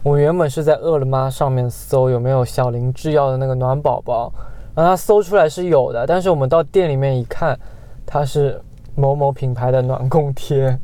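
A man with a plain, everyday voice speaks at a fairly high pitch. His pace is moderate and his intonation fairly even. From Guangxi / Yunnan, China. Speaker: podcast co-host. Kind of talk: casual chat.

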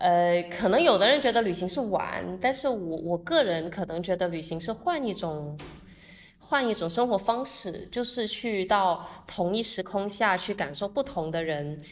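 A woman with an ordinary speaking voice, medium pitch, fairly slow pace and lively intonation. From Guangdong, Zhuhai. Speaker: entrepreneur and international volunteer. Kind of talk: casual interview chat.

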